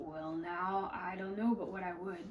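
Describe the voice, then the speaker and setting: A woman does a put-on character voice, raspy and at a medium pitch, with monotone, flat intonation. She speaks at a moderate pace over clear background noise. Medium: read story. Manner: hesitant, halting, few words.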